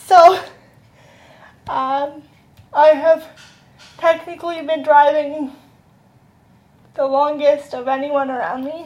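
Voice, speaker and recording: A woman with a high pitch sounds strained and speaks very slowly. She leaves long, frequent pauses, and her loudness swings a lot. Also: fairly even intonation. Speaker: vlogger. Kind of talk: casual chat. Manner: uneven, strained speech.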